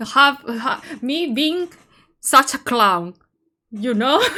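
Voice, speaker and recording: A woman shouting very slowly in a non-native accent, high-pitched, bright and sharp, with ordinary pitch variation on a very clean recording with a silent background. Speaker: streamer. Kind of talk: live game stream chat. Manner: loud, shouting; halting, repetitive.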